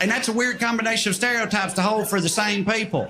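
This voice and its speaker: A man in a Southern US accent, high-pitched and raised, projected, with noticeable background noise. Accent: Southern American. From rural Tennessee. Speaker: stand-up comedian. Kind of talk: stand-up comedy set.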